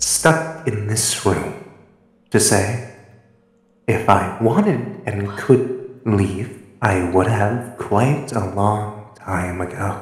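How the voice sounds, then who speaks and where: A man puts on a character voice, pitched fairly low, speaking at a very slow pace with a strong echo around him. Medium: machinima. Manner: formal, measured, dry.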